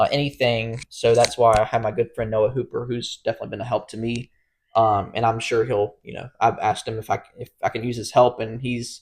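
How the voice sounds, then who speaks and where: The voice is somewhat breathy and monotone, with flat intonation and big swings in loudness. It moves at a fairly quick pace on a very clean recording with a silent background. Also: man, medium pitch for a man. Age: 20s. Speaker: podcast co-host. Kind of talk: casual chat. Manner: hesitant, many fillers.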